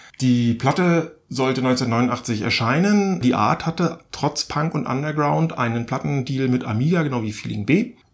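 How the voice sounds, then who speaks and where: A man with a plain, everyday voice speaks at medium pitch with lively intonation. He keeps a fairly slow pace with hardly any pauses. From East Germany. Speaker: podcast co-host. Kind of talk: casual chat.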